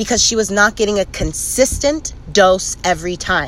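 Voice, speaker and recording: A woman talks at a fairly slow pace with a medium pitch, ordinary pitch variation, and an ordinary speaking voice. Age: 20s. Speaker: cannabis podcast host. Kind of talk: casual chat.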